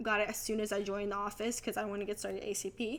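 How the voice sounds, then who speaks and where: Her pitch runs fairly high. The woman talks at a fairly brisk clip. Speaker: real estate agent and video creator. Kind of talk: casual tutorial vlog. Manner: fast; animated.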